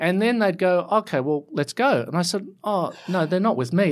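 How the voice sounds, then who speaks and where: Speaking in an Australian accent, a man with a high pitch uses lively intonation on a very clean recording with a silent background. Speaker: architect. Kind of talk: interview. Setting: studio. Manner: halting, many fillers and repeats.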